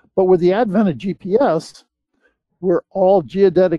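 With an American accent, a man speaks at a high pitch and a fairly slow pace. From US East Coast. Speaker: land surveyor. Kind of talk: interview. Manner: halting.

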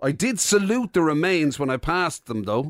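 Recorded very cleanly against a silent background, dry and close with no echo, a man with an Irish accent makes very wide pitch swings. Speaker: radio host. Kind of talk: casual chat.

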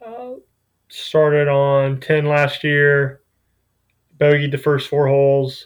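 A fairly high-pitched man with an American accent on a very clean recording with a silent background. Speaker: college golfer. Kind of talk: podcast interview.

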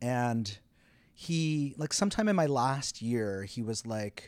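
Over a silent background in a very clean recording, a man talks very slowly with lively intonation. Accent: Canadian. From Quebec, Canada. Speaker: playwright and director. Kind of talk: interview. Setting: theater venue.

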